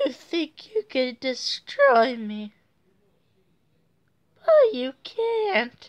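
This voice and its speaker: Put-on character voice from a woman, high in pitch, very slow, with long, frequent pauses. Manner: menacing, taunting.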